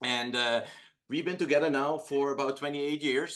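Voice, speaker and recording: A man with a Dutch accent speaks in a bright, sharp tone at a fairly high pitch. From Netherlands. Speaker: entrepreneur. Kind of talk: casual chat. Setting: video call.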